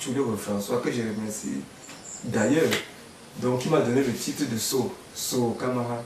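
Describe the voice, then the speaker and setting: Recorded with audible room echo and noticeable background noise, a man speaks at a moderate pace and medium pitch with ordinary pitch variation. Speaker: folk musician. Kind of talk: interview.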